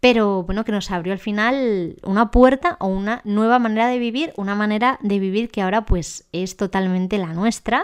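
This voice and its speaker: A woman talks in an ordinary speaking voice, fairly high in pitch with ordinary pitch variation. She keeps a moderate pace with hardly any pauses against a quiet background. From Spain, Ávila. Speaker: podcast host, occupational therapist. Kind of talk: personal monologue podcast.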